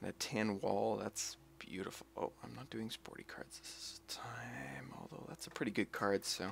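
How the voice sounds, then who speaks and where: Whispering in a relaxed tone, a man speaks at a fairly slow pace. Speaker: gaming streamer. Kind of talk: live gameplay commentary. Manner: sometimes whispering; relaxed, musing.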